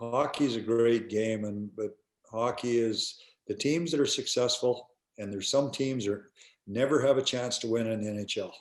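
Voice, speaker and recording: With a Canadian prairie accent, a man talks at a moderate pace using fairly even intonation. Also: medium pitch for a man. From Canada, rural Alberta. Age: 60s. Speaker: retired hockey player and coach. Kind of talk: interview. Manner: halting, repetitive fillers.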